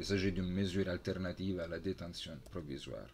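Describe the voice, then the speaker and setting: A man with an Italian accent speaks at a fairly slow pace in a very deep, low pitch. His voice is somewhat breathy, with light background noise. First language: Italian (speaking French). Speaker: university lecturer. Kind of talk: lecture. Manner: halting. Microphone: webcam.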